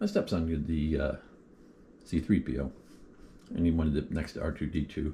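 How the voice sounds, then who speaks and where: Vocal fry runs through this man's very deep, low voice, which has a dark, mellow tone. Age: 60s. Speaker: hobby vlogger. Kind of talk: casual chat. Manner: halting, many fillers. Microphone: built-in mic, before buying a microphone.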